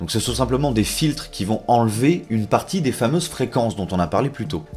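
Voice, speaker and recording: Vocal fry runs through speech that swings very widely in pitch. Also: man. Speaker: audio tutorial youtuber. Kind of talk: tutorial. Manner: casual, conversational.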